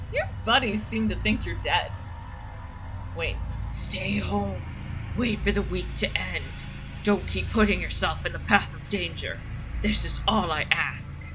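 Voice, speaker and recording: Over loud background noise, someone uses a put-on character voice with a menacing tone, moving at a fairly slow pace with long, frequent pauses. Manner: creepy, menacing.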